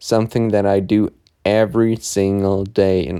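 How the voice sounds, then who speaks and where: A man with a German accent speaks at a fairly low pitch, his tone dark and mellow and his intonation fairly even. The recording is very clean, with a silent background. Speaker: podcast host. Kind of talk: solo podcast monologue. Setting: in bed at home. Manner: casual.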